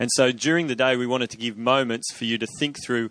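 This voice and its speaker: Speaking in an Australian accent, a man talks at a fairly quick pace with a medium pitch and fairly even intonation. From Australia, Sydney. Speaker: ministry director, event organizer. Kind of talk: event hosting and announcements.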